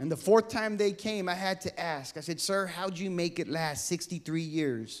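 At a fairly slow pace, a man with a high-pitched voice talks with ordinary pitch variation. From Bay Area, California; California. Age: 50s. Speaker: comedian. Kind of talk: stand-up; sermon. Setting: stage with audience. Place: stage. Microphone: handheld.

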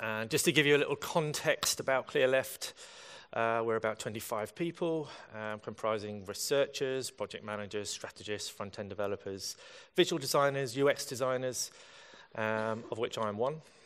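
At a moderate pace, a man speaks with ordinary variation in pitch. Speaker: conference speaker. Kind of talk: conference talk. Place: hall.

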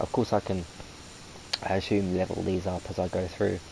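A man talks with a very deep, low pitch while noticeable background noise carries on. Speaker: gaming video host. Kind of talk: let's play commentary. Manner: halting.

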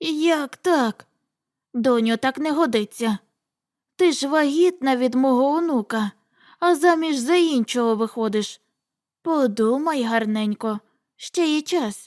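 Putting on a high-pitched character voice, a woman speaks at a fairly slow pace with long, frequent pauses on a very clean recording with a silent background. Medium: read story. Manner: homely, fussing.

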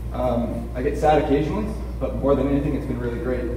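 With an American accent, a man talks very fast amid noticeable background noise and audible room echo. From US West Coast (Los Angeles). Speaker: patient advocate speaker. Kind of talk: conference presentation. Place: hall. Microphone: camera far.

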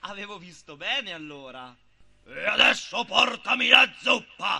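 A man uses a put-on character voice at an extremely high pitch, raised and projected. His tone is menacing and his pace fairly slow. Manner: bossy, menacing.

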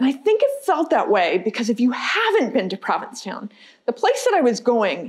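Over a quiet background, the speech moves at a fairly quick pace with very wide pitch swings. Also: woman. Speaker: guest lecturer. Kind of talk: lecture.

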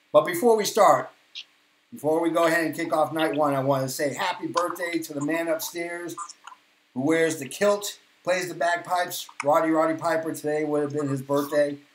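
A man with a Boston accent, fairly even intonation and a moderate pace, with audible room echo and light background noise. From Boston, Massachusetts, US; Massachusetts. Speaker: podcast host. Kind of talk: casual chat. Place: home room.

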